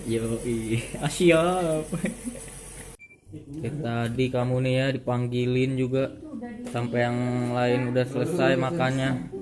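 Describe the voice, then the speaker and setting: Very slow speech with long, frequent pauses over noticeable background noise. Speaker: vlogger. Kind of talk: casual vlog talk to camera.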